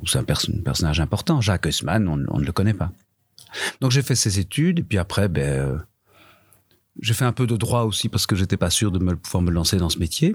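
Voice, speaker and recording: A man with a very deep, low voice speaks at a fairly quick pace, somewhat breathy and with lively intonation, broken by long, frequent pauses. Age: 50s. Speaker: veteran theatre actor and teacher. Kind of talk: panel discussion. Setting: live recording before an audience.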